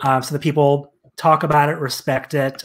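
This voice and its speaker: With quiet in the background, a man talks at a moderate speed. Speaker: guest. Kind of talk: interview answer.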